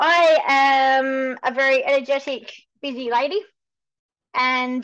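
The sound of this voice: A woman speaks at a slow pace with a high pitch. Her tone is fairly bright.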